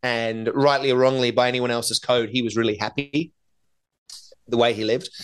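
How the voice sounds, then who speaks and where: Speaking at a very fast pace, a man with an Australian accent and a medium pitch is heard on a very clean recording with a silent background. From Australia, Northern Beaches of Sydney. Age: 40s. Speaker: keynote speaker and author. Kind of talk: interview.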